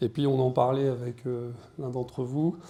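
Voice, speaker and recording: This man speaks at a fairly slow pace and a medium pitch. His tone is dark and mellow. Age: 60s. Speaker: deacon and media business owner. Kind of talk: conference talk. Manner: hesitant, many fillers.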